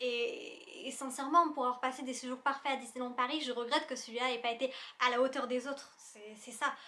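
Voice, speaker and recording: A woman with a high-pitched, bright, sharp voice speaks in a raised, projected voice at a fairly quick pace, her animated tone carrying big swings in loudness. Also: ordinary pitch variation. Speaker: YouTuber. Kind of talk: casual vlog review. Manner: fast.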